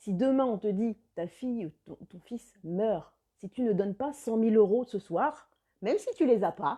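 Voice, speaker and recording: With lively intonation and big swings in loudness, a woman talks fairly slowly in a dark, mellow tone at a fairly high pitch. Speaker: life coach. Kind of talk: live video chat with viewers.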